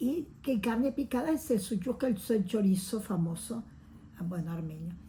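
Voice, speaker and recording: Somewhat breathy, dark, mellow voice of a woman, with lively intonation at a fairly slow pace. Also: medium pitch for a woman. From Uruguay. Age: 80s+. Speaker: oral history interviewee. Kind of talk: testimony. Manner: animated.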